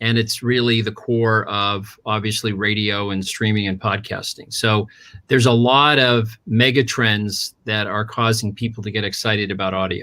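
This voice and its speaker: In a very clean recording with a silent background, a man with an American accent speaks in a monotone, flat way at a fairly low pitch and a moderate pace, his tone bright and sharp. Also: hardly any pauses. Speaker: audio advertising executive. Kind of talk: panel discussion. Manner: hesitant, many fillers.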